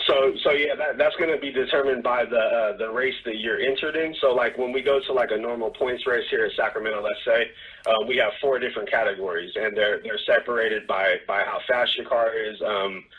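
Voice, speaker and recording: Talking at a fairly quick pace with hardly any pauses, a man with an American accent is heard over noticeable background noise. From California, US. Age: 30s. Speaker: drag racer. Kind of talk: interview answer.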